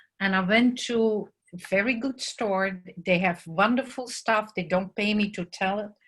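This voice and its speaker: A woman at a medium pitch with a Dutch accent and fairly even intonation. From Netherlands. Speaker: muralist artist. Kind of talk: presentation talk. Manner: hesitant with fillers.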